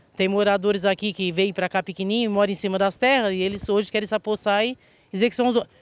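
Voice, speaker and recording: Her delivery is very fast, and this woman keeps her intonation fairly even. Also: dry sound with no echo. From southern Santa Catarina, Brazil. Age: 50s. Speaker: local resident. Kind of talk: interview testimony. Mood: indignant, worried. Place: open country. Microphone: handheld.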